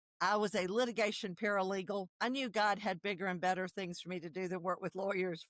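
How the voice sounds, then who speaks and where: The woman's medium-pitched voice moves at a fairly quick pace, recorded dry and close with no echo. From South Carolina, US South. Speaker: nonprofit founder, traumatic stress expert. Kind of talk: podcast interview.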